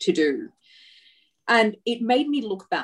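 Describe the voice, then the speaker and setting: Speaking at a fairly slow pace, a woman keeps her intonation lively. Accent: Australian. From Australia. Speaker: entrepreneur, women's empowerment company founder. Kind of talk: interview.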